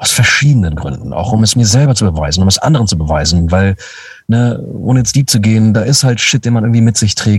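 This man's voice sits fairly low, with ordinary pitch variation. He talks at a very fast pace. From Lower Saxony, Germany (Braunschweig). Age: 30s. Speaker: voice actor. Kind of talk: casual chat.

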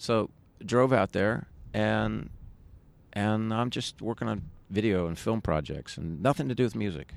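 This man speaks with an American accent in a plain, everyday voice, fairly low in pitch, at a fairly slow pace with lively intonation. The recording is very clean, with a silent background. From San Diego, California. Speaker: musician. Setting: rooftop outdoors in Brooklyn.

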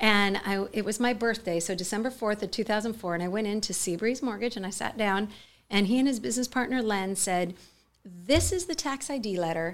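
A woman with a Californian accent, fairly high in pitch, at a fairly quick pace with ordinary pitch variation, on a very clean recording with a silent background. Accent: General American, Californian. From US West, Mojave Desert, California. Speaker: charity co-founder and CEO. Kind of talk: interview.

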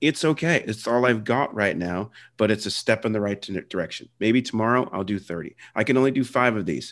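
In an ordinary speaking voice, a man with an American accent talks at a fairly quick clip with hardly any pauses, his fairly low pitch showing ordinary variation against a quiet background. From Philadelphia area and South Jersey. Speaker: podcast host. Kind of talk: interview.

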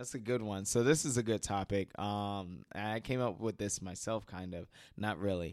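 On a very clean recording with a silent background, a man at a fairly low pitch talks at a moderate pace with ordinary pitch variation, a normal speaking voice. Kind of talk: casual chat.

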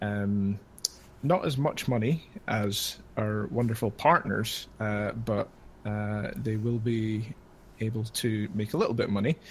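A man talks at a very slow pace, his voice somewhat breathy. His pitch varies in an ordinary way. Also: fairly low pitch for a man. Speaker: Twitch moderator. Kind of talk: casual chat. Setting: video call.

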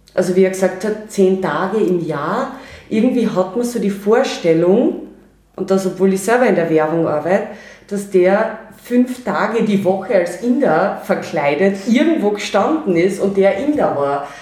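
Moderate pace, noticeable background noise. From Austria, Carinthia. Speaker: podcast co-host. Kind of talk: casual chat.

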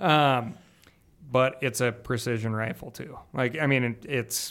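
The intonation here is fairly even. The pace is fairly slow. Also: man. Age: 40s. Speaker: hunting media personality. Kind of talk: casual chat.

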